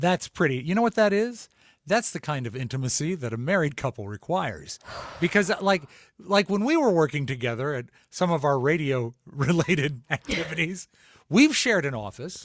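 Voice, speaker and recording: A loud man at a fairly high pitch, very wide pitch swings, a moderate pace, a dry, close sound with no echo, and a very clean recording with a silent background. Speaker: podcast co-host. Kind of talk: casual chat.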